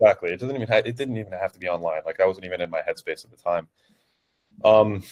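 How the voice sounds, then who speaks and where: A man at a very fast pace, the sound dry and close with no echo. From New Jersey, US. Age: 20s. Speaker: online fitness coach. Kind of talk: interview. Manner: hesitant, many fillers.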